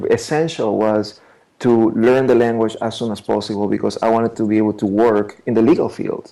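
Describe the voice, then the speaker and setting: A man with a Spanish accent speaks at medium pitch in a dark, mellow tone. His intonation stays fairly even. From Ecuador, Guayaquil. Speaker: immigration attorney. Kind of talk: interview. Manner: halting, with frequent repetitions.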